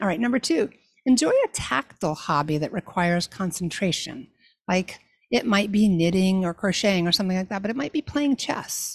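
On a very clean recording with a silent background and a dry, close sound without echo, a woman talks at a fairly quick pace, somewhat breathy and with lively intonation. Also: medium pitch for a woman. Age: 60s. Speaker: faith-based talent coach podcast host. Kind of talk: solo podcast monologue.

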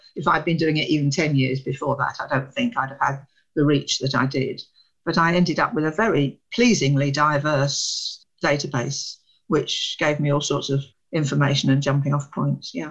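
A woman with a British accent speaks with a very deep, low pitch and a somewhat breathy voice. She keeps a moderate pace and ordinary pitch variation. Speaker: academic researcher. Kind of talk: interview. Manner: animated.

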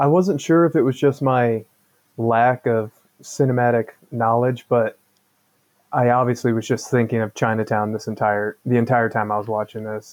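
A man speaks at a moderate pace in an ordinary speaking voice, his pitch medium with ordinary variation. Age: 40s. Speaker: podcast co-host. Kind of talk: casual chat.

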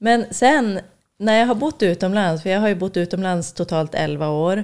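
At a fairly slow pace, a woman with an unremarkable speaking voice speaks with ordinary pitch variation. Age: 30s. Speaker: podcast guest. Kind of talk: casual chat.

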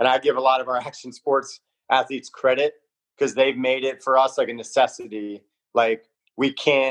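The speech comes at a moderate pace in a Southern Californian accent, with monotone, flat intonation and a dry, close sound with no echo. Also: man, medium pitch for a man. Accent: Southern California American. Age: 40s. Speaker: performance coach. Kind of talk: casual interview.

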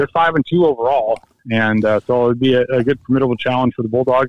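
The speaker is a man with a medium pitch. He has a plain, everyday voice. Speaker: high school sports insider. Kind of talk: casual chat. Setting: phone call.

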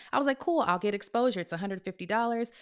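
With an American accent, a woman speaks in a normal speaking voice at medium pitch and with lively intonation, on a very clean recording with a silent background. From California. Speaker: actress. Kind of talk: casual chat.

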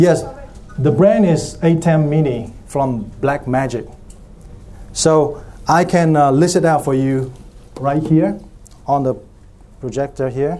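A man with a fairly high pitch and a dark, mellow tone speaks at a fairly slow pace, with ordinary pitch variation and long, frequent pauses. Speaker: church technology workshop presenter. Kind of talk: conference breakout session talk. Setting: stage with audience.

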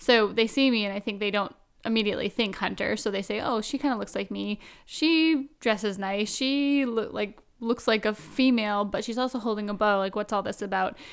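A woman talks at a fairly quick pace with a fairly high pitch and ordinary pitch variation. The recording is very clean, with a silent background. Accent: western Canadian. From Canada, Vancouver Island. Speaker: hunting personality. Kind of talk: casual interview.

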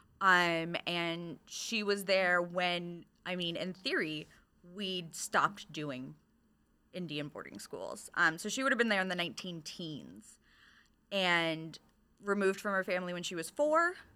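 A woman with an American accent speaks fairly slowly in a bright, sharp tone, her fairly low voice varying in pitch in an ordinary way. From Michigan. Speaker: librarian. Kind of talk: casual chat.

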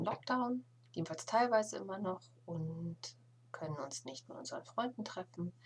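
With very wide pitch swings and big swings in loudness, a woman talks at a moderate pace in a bright, sharp tone at a fairly low pitch. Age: 40s. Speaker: knitting podcaster. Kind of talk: casual solo podcast monologue. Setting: home attic room.

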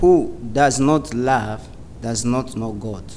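Speaking at a very slow pace, a man has a medium pitch. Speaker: church member reading scripture and praying. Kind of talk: scripture reading and prayer. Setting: church with audience.

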